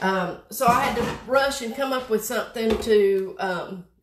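A woman with a high pitch and lively intonation, at a fairly slow pace, over noticeable background noise. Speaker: craft host. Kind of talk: tutorial. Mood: chatty, slightly flustered. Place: home room. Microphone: phone near.

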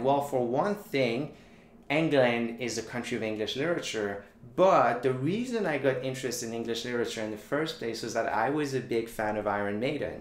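With a Quebec French accent, a man speaks at a medium pitch with lively intonation, and audible room echo surrounds him.

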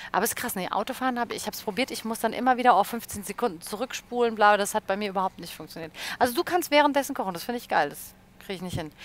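A woman's very fast, animated delivery at a fairly high pitch, with big swings in loudness and a dry sound with no echo. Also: lively intonation. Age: 30s. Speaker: radio presenter and livestream host; radio presenter, livestream host. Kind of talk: casual chat. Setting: studio livestream. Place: studio. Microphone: headset.

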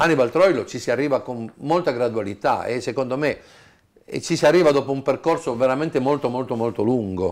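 Against a quiet background, the speech moves at a fairly quick pace with ordinary pitch variation. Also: man, medium pitch for a man. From Apulia, southern Italy; raised in Turin from age 7. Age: 60s. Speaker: tango DJ. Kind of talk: interview. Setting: at home. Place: home room. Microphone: lapel.

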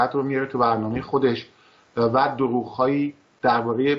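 A man's flat, monotone intonation holds through speech at a moderate speed. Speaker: political commentator host. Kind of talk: commentary. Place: studio.

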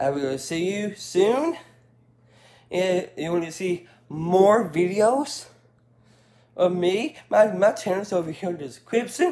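A man speaks at a very slow pace, his pitch high for a man. His intonation is lively, broken by long, frequent pauses. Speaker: home vlogger. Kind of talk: casual vlog sign-off. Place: home room. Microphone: phone near.

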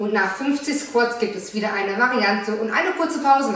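There is audible room echo as a woman speaks at a fairly quick pace. Her pitch is high, with ordinary variation. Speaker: fitness trainer. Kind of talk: workout instruction. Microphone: camera far.

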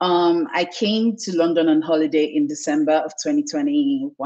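A woman's voice swings very widely in pitch. The background is quiet. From Lagos, Nigeria. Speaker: content marketer; interview guest. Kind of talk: interview. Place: home room. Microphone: video call.

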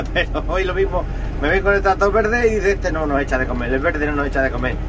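Noticeable background noise sits behind a man racing along at a very fast pace. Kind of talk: casual vlog chat. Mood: cheerful, joking. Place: farm machine. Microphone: phone near.

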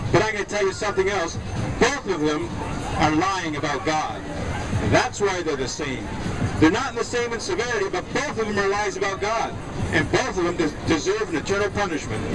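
Loud background noise surrounds a man's voice. He speaks at a fairly quick pace. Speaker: street preacher. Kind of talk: open-air sermon. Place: beach.

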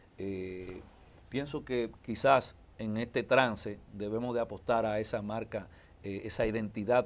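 A man's fairly low voice at a fairly slow pace, with fairly even intonation. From Dominican Republic, Santo Domingo; Dominican Republic. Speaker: politician and lawyer; politician, lawyer. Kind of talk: interview. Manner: halting. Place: studio. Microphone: lapel.

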